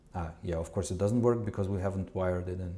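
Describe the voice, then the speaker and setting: His voice somewhat breathy, a man speaks in a dark, mellow tone. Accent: non-native. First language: not English. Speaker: live coding streamer, media developer. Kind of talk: live coding tutorial stream. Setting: live stream. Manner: halting, many fillers and restarts.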